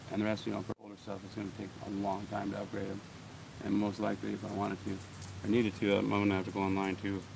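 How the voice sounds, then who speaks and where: A man's fairly low, flat, monotone voice with vocal fry. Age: 40s. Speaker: coin collecting vlogger. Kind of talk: casual vlog chat. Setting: outdoors. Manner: casual, halting with fillers.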